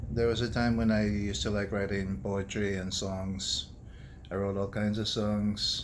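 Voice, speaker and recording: Audible room echo carries a man's fairly low-pitched voice and fairly even intonation. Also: fairly slow pace. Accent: American. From United States. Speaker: doctor and food vlogger. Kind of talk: casual personal vlog. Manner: monotone; serious, quiet.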